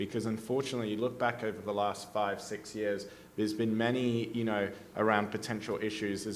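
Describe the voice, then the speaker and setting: A man with an Australian accent talks at a moderate pace and fairly low pitch, in a monotone, flat intonation. Audible room echo and noticeable background noise surround him. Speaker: policy advocate, panelist. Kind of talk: panel discussion. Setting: conference stage with audience.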